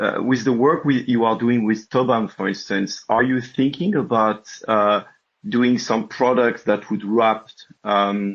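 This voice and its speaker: Over a quiet background, a man with a French accent speaks at a fairly slow pace and a medium pitch, his loudness very even. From France. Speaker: listener asking question. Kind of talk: Q&A question.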